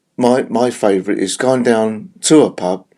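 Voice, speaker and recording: A man speaks with a London accent at a fairly slow pace. His tone is dark and mellow. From South London, England. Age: 70s. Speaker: retired rock drummer. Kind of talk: interview. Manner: halting, many fillers.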